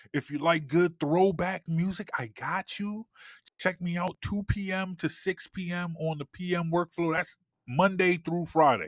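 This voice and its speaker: A man with an American accent at a fairly slow pace, fairly even in intonation, in a very clean recording with a silent background. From Philadelphia. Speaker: TV producer and internet radio host. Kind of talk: casual interview chat; self-promotion plug. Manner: halting, many repetitions.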